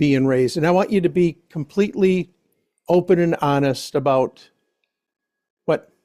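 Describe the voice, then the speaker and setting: A man with an American accent, dark, mellow tone, and ordinary pitch variation. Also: dry, close sound with no echo. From Bay City, Michigan. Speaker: family history interviewer. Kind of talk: casual family interview. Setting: relative's home.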